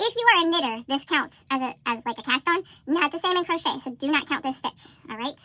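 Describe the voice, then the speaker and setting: A woman's raised, projected voice, high in pitch and bright and sharp in tone, with lively intonation, a fairly quick pace and hardly any pauses. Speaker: crochet and history video creator. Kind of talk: tutorial. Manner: fast.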